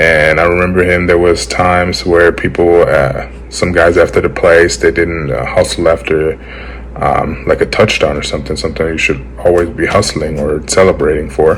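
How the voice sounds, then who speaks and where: Noticeable background noise sits behind the recording. A man talks over it at a moderate pace. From Germany. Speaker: former college football offensive lineman. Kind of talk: interview answer. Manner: casual, hesitant with many fillers.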